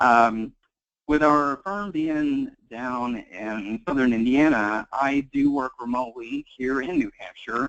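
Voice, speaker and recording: A man's medium-pitched voice with a Kentucky accent, at a very slow pace and with ordinary pitch variation. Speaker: tax accountant. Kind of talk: webinar presentation. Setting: webinar call.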